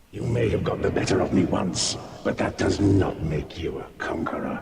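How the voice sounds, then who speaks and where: Over loud background noise and a clear echo, a man performs a put-on character voice at a very deep, low pitch and a moderate pace. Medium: machinima. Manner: haughty.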